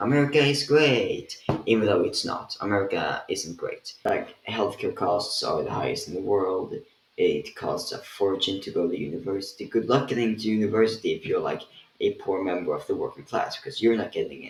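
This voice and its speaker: With a Swedish accent, a man speaks at a moderate pace while noticeable background noise runs underneath. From Sweden. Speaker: political commentator. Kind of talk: rant. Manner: casual, with fillers.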